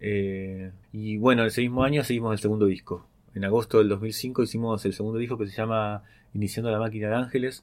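Fairly low male pitch with monotone, flat intonation. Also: quiet background. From Argentina, western Greater Buenos Aires. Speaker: musician. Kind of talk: personal storytelling monologue. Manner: hesitant, many fillers.

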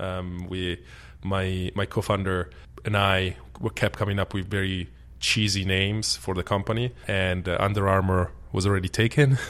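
Very deep and low, a man's voice with an Italian accent moves at a moderate pace with ordinary pitch variation. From Italy, Milan. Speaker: sports company founder. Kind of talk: interview. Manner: easygoing.

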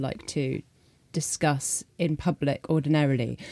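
On a very clean recording with a silent background, a woman speaks with a very deep, low pitch and a dark, mellow tone, the sound dry and close with no echo. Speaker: journalist. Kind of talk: panel discussion.

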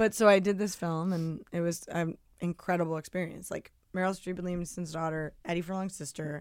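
An unremarkable speaking voice moves at a fairly quick pace with fairly even intonation. The recording is very clean, with a silent background. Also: woman. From New Jersey, near New York City. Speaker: singer-songwriter and former actor. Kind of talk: casual interview chat.

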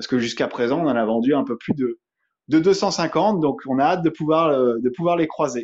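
Lively intonation from a man with a fairly high voice, at a moderate pace. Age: 30s. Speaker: eco-product entrepreneur. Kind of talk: interview. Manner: hesitant, many fillers.

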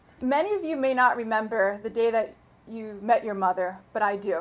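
Spoken at a fairly quick pace with an American accent, this is a plain, everyday voice. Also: woman. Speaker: lawyer, bar association president-elect. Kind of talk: tribute speech. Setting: stage with audience.

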